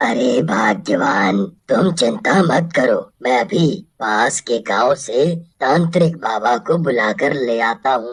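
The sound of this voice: A raspy, low-to-middle-pitched cartoonish character voice at a fairly slow pace with hardly any pauses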